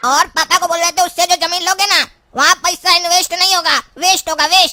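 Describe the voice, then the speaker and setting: A cartoonish character voice at an extremely high pitch, delivered at a fairly quick pace. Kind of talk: comic rural Hindi dialogue. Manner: cheeky, sarcastic.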